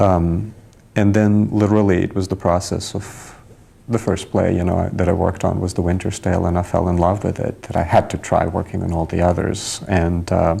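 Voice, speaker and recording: Noticeable background noise surrounds a man with a non-native accent and a very deep, low voice. He speaks at a moderate pace in a monotone, flat way. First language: not English. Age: young. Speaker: stage director. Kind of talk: interview.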